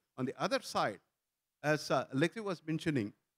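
Against a quiet background, a man with a fairly high pitch talks at a moderate pace in a plain, everyday voice. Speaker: tech company founder. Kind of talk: panel discussion. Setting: stage with audience. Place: stage. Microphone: lapel.

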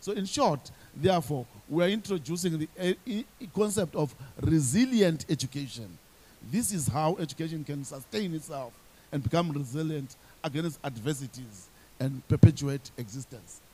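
A man's fairly high, somewhat breathy voice with a dark, mellow tone and lively intonation. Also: moderate pace. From Zimbabwe. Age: 50s. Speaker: teacher, teachers union leader. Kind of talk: panel discussion. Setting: stage with audience. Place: stage. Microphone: handheld.

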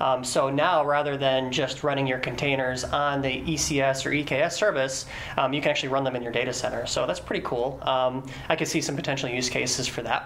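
A man's monotone, flat delivery at a fairly quick pace, hardly any pauses, over light background noise. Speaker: guest. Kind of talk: interview answer. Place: studio.

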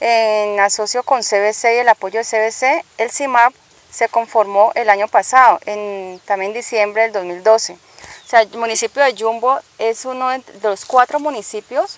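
A woman talks with fairly even intonation. The sound is dry, with no echo. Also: fairly slow pace. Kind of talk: interview answer. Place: open country.

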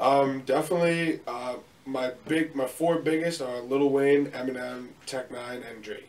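In an American accent, a man reads at a fairly slow pace with fairly even intonation, big swings in loudness and an unremarkable speaking voice. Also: fairly high pitch for a man. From Long Island, New York; New York. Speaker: rapper. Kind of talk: casual interview. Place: home room.

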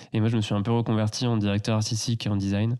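A man's medium-pitched voice with a dark, mellow tone, fairly even intonation and a very fast pace. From France, Loire valley near Tours. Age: 20s. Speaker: eco entrepreneur and designer. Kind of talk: casual interview. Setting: host's living room.

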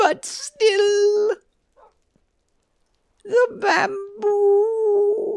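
This put-on character voice is pitched extremely high. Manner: silly, mournful.

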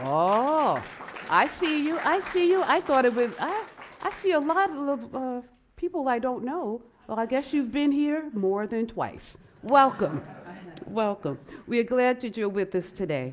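Against crowd noise in the background, a woman talks at a fairly slow pace in a high pitch. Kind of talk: welcome address at worship service. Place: church.

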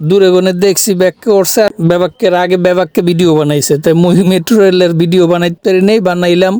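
A man with a high pitch has a dark, mellow tone and very even loudness. The sound is dry and close with no echo. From Barishal, Bangladesh. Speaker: vlogger. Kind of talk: casual vlog in regional dialect. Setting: metro train and station. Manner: animated.

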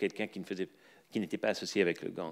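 The background is quiet as a man talks at a fairly slow pace. His pitch varies in an ordinary way. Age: 40s. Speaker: professor of anthropology and sociology; professor of anthropology. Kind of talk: lecture. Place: hall. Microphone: podium.

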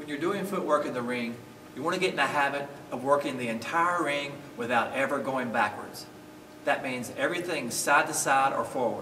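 Over light background noise and audible room echo, a man speaks at a fairly quick pace with ordinary pitch variation. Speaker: boxing coach. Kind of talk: tutorial. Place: gym.

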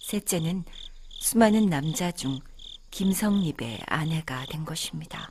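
A woman speaks at a very slow pace with a calm tone and a fairly low pitch. Her voice is somewhat breathy, and her intonation is lively. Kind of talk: poetry reading, audiobook narration for sleep. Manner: soft, calm, slow.

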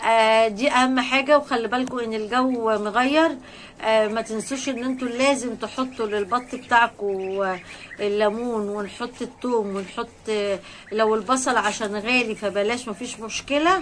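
Light background noise accompanies a woman speaking at a fairly slow pace. Her fairly high pitch shows ordinary variation. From Egypt. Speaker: poultry-raising vlogger. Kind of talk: casual vlog talk to viewers. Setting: rooftop. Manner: animated. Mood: joyful, warm. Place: farm machine. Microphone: phone near.

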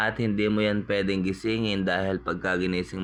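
Pitch moves normally as a man talks at a medium speed. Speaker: vlogger and family caregiver. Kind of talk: cooking vlog narration.

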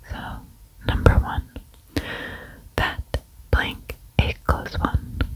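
Someone whispers very slowly and softly, in a dry sound with no echo. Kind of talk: casual think-aloud commentary. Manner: soft ASMR whisper.

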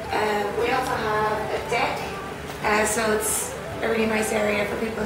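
Audible room echo and loud background noise accompany a woman's speech. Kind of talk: interview answer, guided tour. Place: garden.

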